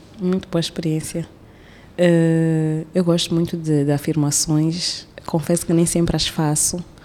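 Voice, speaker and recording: A woman speaks fairly slowly at a fairly low pitch, her intonation monotone and flat. Her loudness stays very even over noticeable background noise. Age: 30s. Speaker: artist and storyteller, feminist activist. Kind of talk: casual interview conversation.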